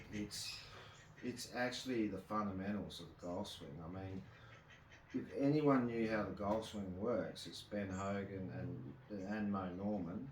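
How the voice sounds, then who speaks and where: Against noticeable background noise, a man with a fairly low pitch speaks at a fairly slow pace with lively intonation. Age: 40s. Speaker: golf instructor. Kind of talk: casual instructional talk to camera.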